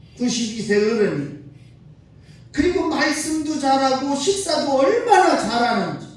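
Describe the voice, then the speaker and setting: An animated tone and lively intonation at a fairly slow pace, with audible room echo. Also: man. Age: 60s. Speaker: pastor. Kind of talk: sermon. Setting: church.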